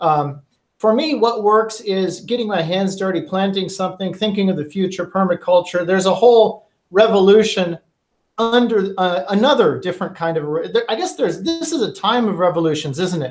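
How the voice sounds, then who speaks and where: A man talks at a fairly quick pace in an American accent. His pitch is high, with ordinary variation. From United States. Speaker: podcast host. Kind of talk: interview.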